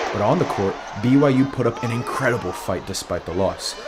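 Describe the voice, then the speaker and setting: Medium-pitched male voice at a fairly quick pace, ordinary pitch variation, noticeable background noise. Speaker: student TV news reporter. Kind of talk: sports news report.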